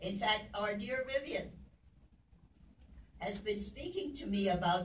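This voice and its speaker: Medium-pitched, somewhat breathy woman's voice at a moderate pace, with audible room echo. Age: 80s+. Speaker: motivational speaker. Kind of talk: inspirational talk.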